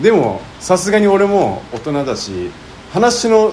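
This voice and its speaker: A man talks fairly slowly, his voice carrying audible room echo over noticeable background noise. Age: 40s. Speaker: podcast co-host. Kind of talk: casual chat. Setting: recorded in a soba restaurant.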